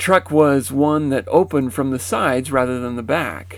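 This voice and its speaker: A man with a medium-pitched voice talks with very wide swings in pitch. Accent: American. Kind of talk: first-person memoir narration.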